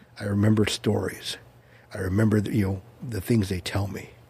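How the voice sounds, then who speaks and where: A man's somewhat breathy, dark and mellow voice in an American accent, with fairly even intonation. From Orange County, California. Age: 60s. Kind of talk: casual interview chat.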